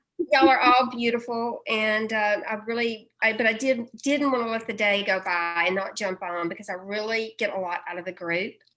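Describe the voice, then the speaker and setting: A woman with a bright, sharp tone and fairly high pitch speaks at a moderate pace with hardly any pauses and ordinary pitch variation. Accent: Southern. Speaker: group member. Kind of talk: casual chat.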